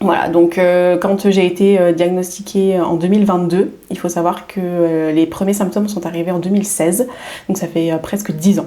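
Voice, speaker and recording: Over noticeable background noise, a woman with medium pitch talks at a moderate pace with fairly even intonation. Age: 30s. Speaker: wellness coach. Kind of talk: podcast interview. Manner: hesitant, many fillers.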